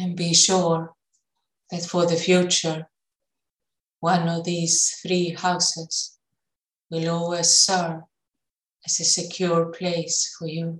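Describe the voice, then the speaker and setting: The tone is calm and soothing, somewhat breathy, with monotone, flat intonation. Delivery is very slow, broken by long, frequent pauses. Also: woman, fairly low pitch for a woman. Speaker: meditation guide. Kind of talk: guided meditation. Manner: slow, calm, soothing with long pauses; gentle, soft-spoken.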